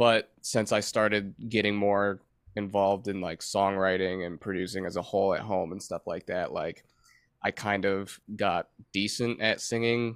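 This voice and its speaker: On a very clean recording with a silent background, a man with an American accent and a fairly low pitch speaks at a moderate pace with monotone, flat intonation. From Michigan. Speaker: touring guitarist. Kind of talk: casual chat.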